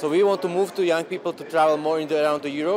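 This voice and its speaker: In a Slovak accent, the speaker keeps a fairly even intonation over noticeable background noise. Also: man. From Slovakia. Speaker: youth delegate. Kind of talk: interview.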